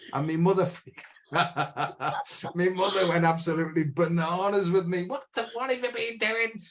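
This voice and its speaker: This man talks at a moderate pace in a British accent. His pitch is high. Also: ordinary pitch variation. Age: 60s. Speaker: podcast host. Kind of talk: casual chat. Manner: halting.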